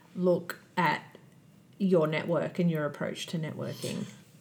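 A woman speaks at a fairly slow pace with fairly even intonation. Her fairly low voice sounds somewhat breathy. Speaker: podcast host. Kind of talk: interview.

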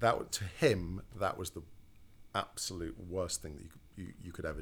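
The voice is somewhat breathy at a moderate pace. The recording is very clean with a silent background. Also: man. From Lincolnshire coast, England. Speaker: music industry manager. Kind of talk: casual interview.

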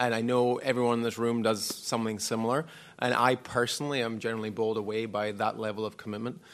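A man with a Scottish accent, a very fast pace and flat, monotone intonation, in audible room echo. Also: medium pitch for a man. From Scotland. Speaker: former professional squash champion and academy director. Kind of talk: live panel discussion. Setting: stage with live audience.

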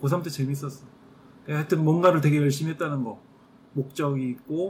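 An ordinary speaking voice, fairly even in intonation, at a fairly quick pace. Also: man. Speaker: podcast co-host. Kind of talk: casual chat.

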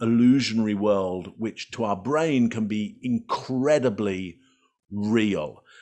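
This man speaks with an English accent, fairly slowly, at a medium pitch. His intonation is lively. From England. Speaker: body language expert. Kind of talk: interview.

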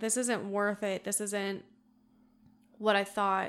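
At a slow pace, a woman speaks in a clear, smooth and fairly bright tone with little pitch movement. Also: medium pitch for a woman.

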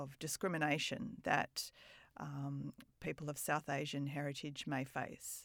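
In a very clean recording with a silent background, a woman speaks fairly slowly with an Australian accent. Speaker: podcast host. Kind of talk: interview conversation.

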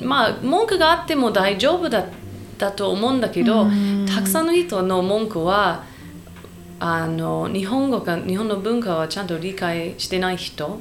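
Speaking with an English accent, a woman uses lively intonation at a medium pitch and a fairly slow pace, with audible room echo. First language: English (speaking Japanese). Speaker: podcast co-host. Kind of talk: casual chat. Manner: halting.

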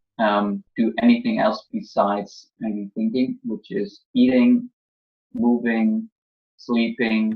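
A man speaks with a German accent. His pace is very slow. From Germany. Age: 20s. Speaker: college drop-out content creator. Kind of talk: casual interview.

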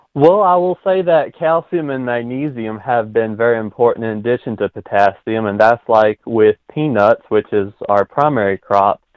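Lively intonation marks this man's ordinary speaking voice with an American accent, pitched at medium height and moving at a moderate pace with hardly any pauses. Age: young. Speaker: farmer. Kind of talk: interview.

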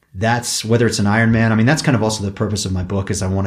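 A man speaks in a monotone, flat intonation with a somewhat breathy sound. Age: 50s. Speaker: mountain bike racer. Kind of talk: interview. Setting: in a home.

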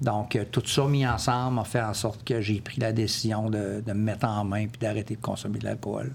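A man's fairly low, monotone voice with vocal fry and flat intonation, at a moderate pace with hardly any pauses. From Quebec City. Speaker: military veteran. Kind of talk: testimony. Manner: halting.

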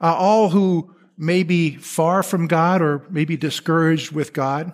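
Speaking very slowly, a man uses a high pitch. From Texas. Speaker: pastor. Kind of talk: sermon. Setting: church.

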